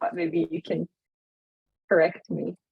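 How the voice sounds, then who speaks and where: A woman with a non-native accent speaks at a moderate pace, her fairly low pitch touched with vocal fry. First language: not English. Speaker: event moderator. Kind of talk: interview questions.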